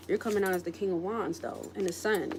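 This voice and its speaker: Through noticeable background noise, a woman's words come at a fairly quick pace. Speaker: tarot reader. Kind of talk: tarot reading. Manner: animated.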